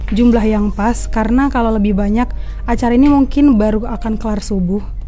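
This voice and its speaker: Over music in the background, a woman speaks at a fairly quick pace in a fairly high voice with fairly even intonation. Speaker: reporter. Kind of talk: comedy event review voice-over. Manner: soft-spoken.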